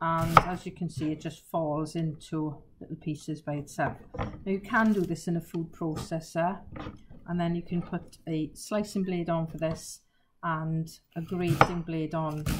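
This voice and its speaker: A fairly slow pace amid loud background noise. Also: woman. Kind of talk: tutorial. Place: kitchen. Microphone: camera far.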